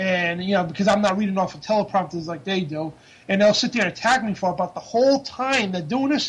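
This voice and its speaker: An American accent at a fairly quick pace, with ordinary pitch variation. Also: man. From Rhode Island, US (Central Falls). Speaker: activist and reporter. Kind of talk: interview. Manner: halting, many fillers.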